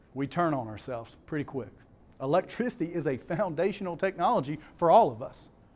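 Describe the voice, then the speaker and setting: The speaker has a Southern US accent and talks at a fairly quick pace in an animated tone. The intonation is lively, with big swings in loudness. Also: man, fairly high pitch for a man. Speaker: conference speaker. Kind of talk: conference presentation.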